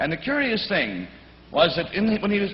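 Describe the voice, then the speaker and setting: This man's pitch swings very widely. Noticeable background noise sits behind him. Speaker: TV game show host. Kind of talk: TV game show hosting.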